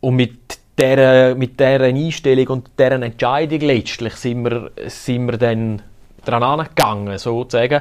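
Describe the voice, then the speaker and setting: A man with a Graubünden accent, fairly slow delivery, medium pitch and fairly even intonation. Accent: Bündner Swiss German. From Graubünden, Switzerland. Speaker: podcast host. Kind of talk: casual chat.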